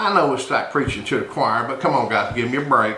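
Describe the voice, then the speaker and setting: A man talks over noticeable background noise. The room echo is audible. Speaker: YouTuber, knife and gun channel host. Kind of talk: casual show-and-tell monologue. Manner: halting, unscripted.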